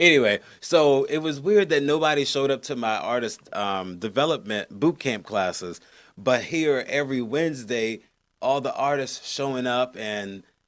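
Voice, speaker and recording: A man with a plain, everyday voice, medium in pitch, at a moderate pace with lively intonation, on a very clean recording with a silent background. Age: 30s. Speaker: radio show host and rapper. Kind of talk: casual chat.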